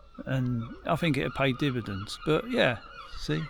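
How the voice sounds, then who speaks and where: Noticeable background noise runs under a man's voice. He sits at a medium pitch but makes very wide pitch swings. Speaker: bushcraft hobbyist vlogger. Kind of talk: casual monologue to camera. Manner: rambling, hesitant.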